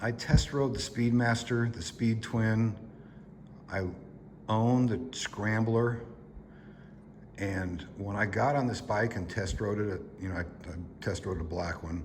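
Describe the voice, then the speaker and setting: A man with a fairly low pitch and ordinary pitch variation talks at a fairly slow pace with long, frequent pauses, over noticeable background noise and audible room echo. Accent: American. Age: 60s. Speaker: motorcycle vlogger. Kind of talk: casual product review.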